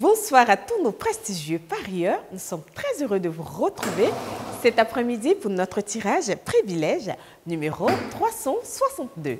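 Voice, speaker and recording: Noticeable background noise sits behind this recording. A woman speaks at a very slow pace. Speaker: TV presenter. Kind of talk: broadcast announcement. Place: studio.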